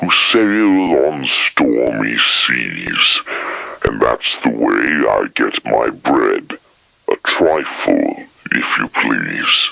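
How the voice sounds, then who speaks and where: In a put-on character voice, a man growls and mumbles at a very slow pace. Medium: read story. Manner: slow, muttering.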